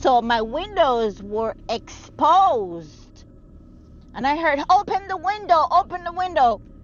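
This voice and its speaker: Noticeable background noise sits behind a woman speaking at a very slow pace. Her voice is high, with very wide pitch swings. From Jamaica. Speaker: vlogger. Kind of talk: vlog storytelling. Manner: animated.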